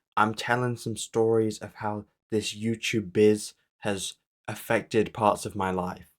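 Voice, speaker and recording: The speaker has an English accent and a fairly slow pace. The intonation is monotone and flat. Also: man, fairly low pitch for a man. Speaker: comedy YouTuber. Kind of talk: comedic storytelling monologue.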